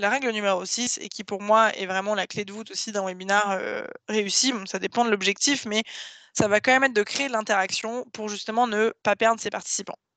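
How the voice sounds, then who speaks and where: A woman speaks at a fairly quick pace and fairly high pitch, with a bright, sharp tone and ordinary pitch variation. Her loudness swings widely in a dry, close sound with no echo. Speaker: webinar trainer. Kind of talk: online training presentation. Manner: fast.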